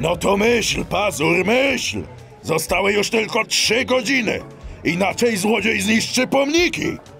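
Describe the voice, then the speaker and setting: A man puts on a character voice at a high pitch. He speaks at a fairly slow pace over clear music in the background. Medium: audio drama. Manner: brusque, bossy.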